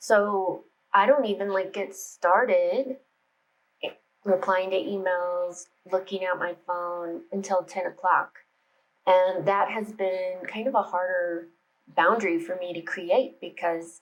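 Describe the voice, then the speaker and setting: The speaker uses an American accent, moving at a very slow pace with ordinary pitch variation. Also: woman, medium pitch for a woman. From United States. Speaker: meditation and spirituality YouTuber. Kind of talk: casual vlog talk to camera. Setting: home office. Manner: chatty, informal.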